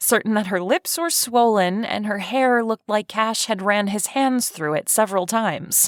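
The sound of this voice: In an unforced reading voice, the pitch varies in an ordinary way.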